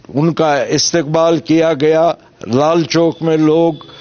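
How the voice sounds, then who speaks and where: There is noticeable background noise behind a man speaking at a fairly high pitch. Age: 70s. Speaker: former militant turned election candidate. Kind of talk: interview.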